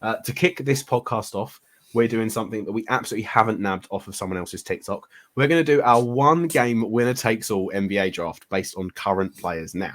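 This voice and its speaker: A fairly quick, medium-pitched man with a British accent and lively intonation. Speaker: podcast host. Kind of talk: casual chat.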